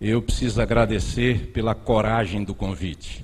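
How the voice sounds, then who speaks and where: A man's fairly low, vocal-fried voice at a fairly slow pace, with audible room echo. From Bahia, Brazil. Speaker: preacher. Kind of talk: sermon.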